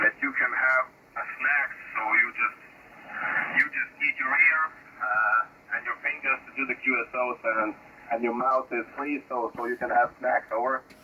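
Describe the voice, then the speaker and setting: The speech moves at a moderate pace while noticeable noise runs in the background. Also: man. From Lithuania. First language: Lithuanian. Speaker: amateur radio operator. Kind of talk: ham radio contact. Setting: radio transmission.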